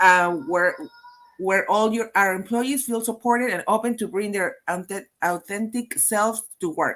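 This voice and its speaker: A woman with a Peruvian accent speaks at a fairly slow pace with a fairly high pitch. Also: ordinary pitch variation. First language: Spanish. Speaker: HR consultant, webinar host. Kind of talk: live webinar interview. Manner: halting, many repetitions.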